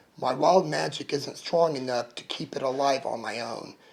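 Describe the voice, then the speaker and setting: A raspy, put-on character voice from a man, fairly high in pitch, with fairly even intonation at a moderate pace. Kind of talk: audiobook narration. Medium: read story.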